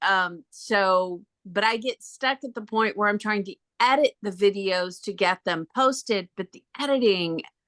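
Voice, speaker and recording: A woman's fairly high voice, bright and sharp, at a fairly slow pace with ordinary pitch variation, in a dry, close recording with no echo. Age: 60s. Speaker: real estate agent. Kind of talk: question in online group meeting.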